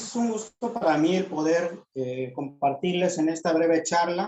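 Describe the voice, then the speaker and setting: A man with a high pitch talks at a fairly slow pace, with hardly any pauses and ordinary pitch variation. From Yucatán Peninsula, Mexico (Maya community). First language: Yucatec Maya (speaking Spanish). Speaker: community educator. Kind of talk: workshop talk.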